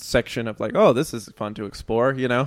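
Speaking at a moderate pace, a man talks with an American accent. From North Texas. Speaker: composer and music student. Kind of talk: casual chat.

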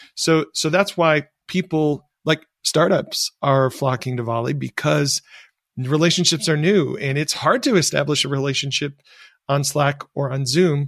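A man with a normal speaking voice and an American accent, fairly slow, with ordinary pitch variation, on a very clean recording with a silent background and a dry, close sound with no echo. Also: fairly high pitch for a man. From US Midwest, rural Michigan. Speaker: tech entrepreneur. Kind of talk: interview.

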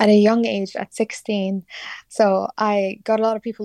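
A woman with a Kurdish accent speaks at a medium pitch in a dark, mellow tone, her intonation monotone and flat. The sound is dry and close with no echo, and the background is quiet. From Iraqi Kurdistan, Sulaymaniyah. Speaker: singer-songwriter. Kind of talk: interview. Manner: hesitant, many fillers.

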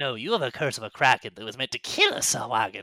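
Hissing and cackling, a man rattles along at a very fast pace in a put-on character voice. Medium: actual play. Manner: hissing, cackling.

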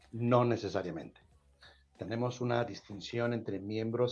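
A man at a medium pitch and fairly slow pace, with fairly even intonation. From Mexico. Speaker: nonprofit office director hosting a housing podcast. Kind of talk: live-streamed call-in show.

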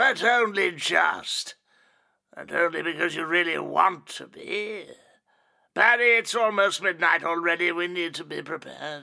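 A man adopts a put-on character voice, high in pitch and delivered at a moderate pace. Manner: sly, gloating, softly menacing; eerily excited at the end.

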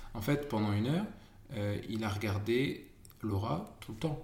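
Over noticeable background noise and audible room echo, a man talks at a fairly low pitch with ordinary pitch variation. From northern France, Amiens. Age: 30s. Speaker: expectant father of triplets. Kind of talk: casual chat.

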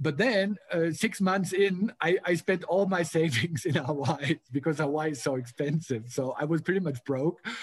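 A man speaks with a German accent at a fairly high pitch, with ordinary pitch variation. There are hardly any pauses, and the sound is dry and close with no echo. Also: moderate pace. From Germany. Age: 40s. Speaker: motivational speaker. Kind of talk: casual interview.

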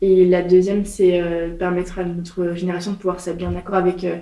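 With audible room echo, a woman at a medium pitch talks at a fairly quick pace in a monotone, flat intonation. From France, Nantes. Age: 20s. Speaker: entrepreneur. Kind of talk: interview. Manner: casual, hesitant fillers.

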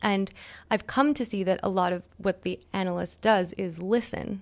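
A woman with a Canadian accent and a plain, everyday voice, medium in pitch at a moderate pace, on a very clean recording with a silent background. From Quebec, Montreal. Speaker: artist. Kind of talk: interview.

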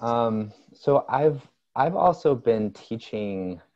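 A man with a plain, everyday voice, fairly low in pitch, with lively intonation. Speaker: business coach. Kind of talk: casual interview chat.

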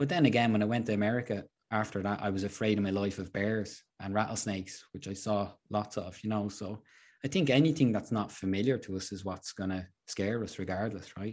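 In a Dublin accent, a man with a fairly low pitch and ordinary pitch variation talks at a fairly quick pace on a very clean recording with a silent background. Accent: Irish (Dublin). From Ireland, Dublin. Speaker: hiker and adventurer. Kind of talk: casual interview.

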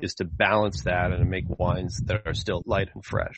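A man with an American accent speaks at a moderate pace in an unremarkable speaking voice, his intonation fairly even. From United States. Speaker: winemaker. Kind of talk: interview.

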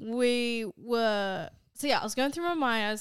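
Lively intonation marks this woman's speech, delivered at a moderate pace with an Australian accent. The recording is very clean, with a silent background. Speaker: podcast co-host. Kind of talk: casual chat. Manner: animated.

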